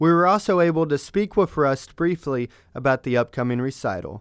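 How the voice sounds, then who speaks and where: A man with a normal speaking voice talks at a fairly quick pace, fairly high in pitch with lively intonation. The recording is very clean and silent in the background, with a dry, close sound and no echo. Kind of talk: radio announcement.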